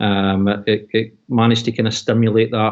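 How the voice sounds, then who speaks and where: A man with a Scottish accent. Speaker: oil and gas industry worker, expat. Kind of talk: video call interview. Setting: video call.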